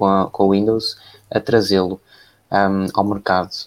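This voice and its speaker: A man with a European Portuguese accent. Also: very clean recording, silent background. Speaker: tech podcast host. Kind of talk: casual live-stream chat.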